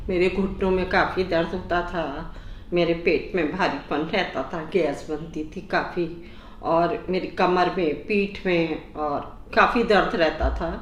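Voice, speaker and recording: Audible room echo surrounds a woman whose fairly low voice keeps a fairly even intonation. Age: 60s. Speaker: patient giving a testimonial. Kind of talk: testimonial interview.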